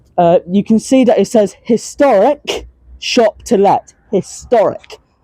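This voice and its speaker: A woman with a southern English accent, very slow and very even in loudness, in a dry, close sound with no echo. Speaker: transport vlogger. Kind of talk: walking vlog commentary. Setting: outdoors. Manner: halting, many fillers.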